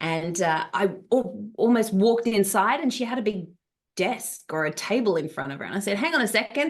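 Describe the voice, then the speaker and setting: The speaker has an Australian accent and a fairly quick pace. The intonation is lively. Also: woman. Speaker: travel business coach and founder. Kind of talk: live online workshop. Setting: Zoom video call. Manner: animated.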